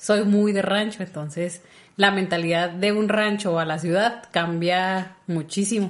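A woman with an unremarkable speaking voice talks with fairly even intonation. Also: medium pitch for a woman. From rural Mexico. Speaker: podcast co-host. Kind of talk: casual chat.

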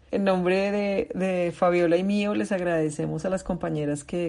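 With a dark, mellow tone, a woman speaks at a moderate pace and uses ordinary pitch variation. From Colombia. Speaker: recovery meeting facilitator. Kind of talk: meeting facilitation.

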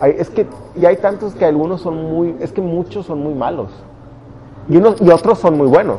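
A man with a Mexican accent speaks at a moderate pace in a high pitch with ordinary pitch variation and long, frequent pauses. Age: 20s. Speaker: stand-up comedian and engineer. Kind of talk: casual interview chat.

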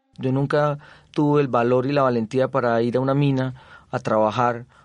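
At a moderate pace, a man speaks at medium pitch in a monotone, flat intonation. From Colombia, Zaragoza, Bajo Cauca antioqueño. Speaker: visual artist. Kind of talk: interview testimony.

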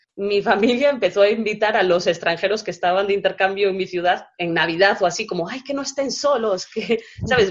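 Medium pitch from a woman, moderate in pace and ordinary in pitch variation. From Galicia, Spain. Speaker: travel blogger. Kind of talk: interview. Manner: hesitant, with frequent repetitions.

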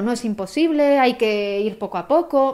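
She has an ordinary speaking voice, fairly high for a woman. Her pitch variation is ordinary. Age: 20s. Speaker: photographer and cancer patient. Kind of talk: interview testimony.

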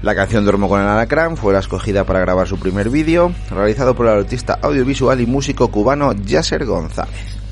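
Noticeable background noise is present. A man talks at a moderate pace. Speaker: music podcast host. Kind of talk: casual radio-style show presentation. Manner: animated.

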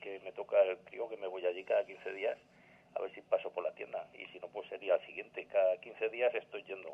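A man talks at a moderate pace. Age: 50s. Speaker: patient caller. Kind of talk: casual phone chat.

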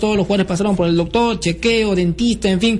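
Noticeable background noise sits behind the recording. A man speaks with ordinary pitch variation. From Peru, Lima. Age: 20s. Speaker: sports radio host. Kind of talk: sports talk radio. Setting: radio studio.

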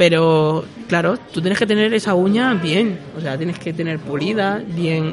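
Noticeable background noise runs behind a man whose voice is high in pitch. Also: ordinary pitch variation, fairly slow pace. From Peru. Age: 20s. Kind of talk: casual chat.

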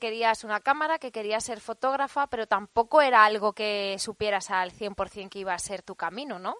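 A normal speaking voice from a woman at a fairly high pitch, moderate pace and ordinary pitch variation, with a dry, close sound without echo against a quiet background. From Spain, Alcoy (Alicante). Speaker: podcast host. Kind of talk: interview. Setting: studio.

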